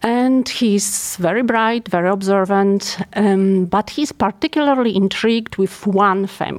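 A woman with a Polish accent speaks at a fairly slow pace with hardly any pauses and very even loudness. Her pitch is medium, with ordinary pitch variation. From Poland. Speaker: geriatric neuropsychiatrist. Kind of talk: professional interview.

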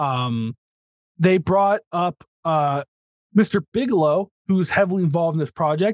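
An American accent from a man with a high pitch, ordinary pitch variation and a dry, close sound with no echo. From US South. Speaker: podcast co-host. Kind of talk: casual chat. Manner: fast.

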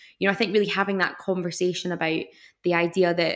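Very fast, monotone, flat speech from a woman with a fairly low pitch, on a very clean recording with a silent background. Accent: Scottish. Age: 20s. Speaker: environmental scientist and zero waste influencer. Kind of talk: interview.

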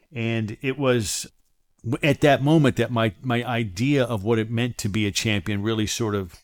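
In a normal speaking voice with an American accent, a man talks at a fairly slow pace and medium pitch, his pitch varying in an ordinary way, on a very clean recording with a silent background. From Maryland, US (Silver Spring, near Washington DC). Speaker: podcast host and professional coach. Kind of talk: motivational monologue.

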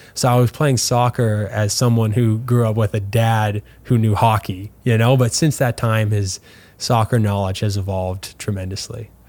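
A man with a Canadian prairie accent and fairly even intonation. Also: moderate pace. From Canada, Manitoba (LaSalle near Winnipeg). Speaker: professional soccer player. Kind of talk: interview.

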